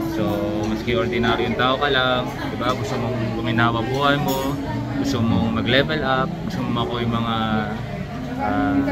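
Loud music plays behind a man who speaks at a moderate pace with ordinary pitch variation and long, frequent pauses. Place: cafe. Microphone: phone near.

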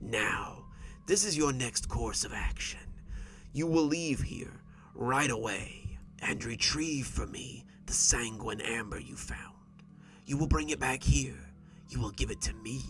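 A put-on character voice, hissing and wheezy, comes with long, frequent pauses over clear background noise. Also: man, fairly slow pace. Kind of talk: horror narration. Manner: menacing, mocking, threatening.

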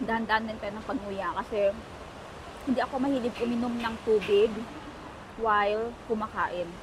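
A woman speaks at a moderate pace and a fairly high pitch, her intonation fairly even, with long, frequent pauses. Noticeable background noise runs underneath. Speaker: vlogger. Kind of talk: travel vlog. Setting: out and about, mall and taxi.

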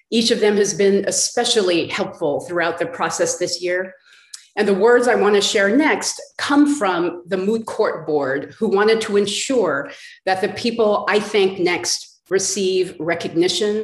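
A woman at a fairly slow pace with ordinary pitch variation, audible room echo and a quiet background. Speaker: law school dean. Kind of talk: formal introductions. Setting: video call. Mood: polite, grateful. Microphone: video call.

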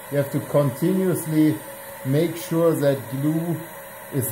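Over noticeable background noise, a man with a German accent talks at a fairly slow pace in a fairly high pitch. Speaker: aircraft fabric supplier; fabric covering instructor. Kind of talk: tutorial. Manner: casual, impromptu. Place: workshop.

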